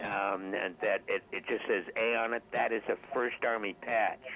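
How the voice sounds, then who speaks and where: A man's fairly even intonation comes through against noticeable background noise. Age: 70s. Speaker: caller, army band veteran. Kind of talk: radio call-in chat. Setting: phone call. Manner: halting, repeats words. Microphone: too quiet.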